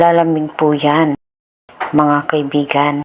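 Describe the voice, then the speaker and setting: A woman speaks at a very slow pace. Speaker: home DIY tutorial creator. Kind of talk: tutorial. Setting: home, filmed by a cameraman. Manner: informal, polite and friendly.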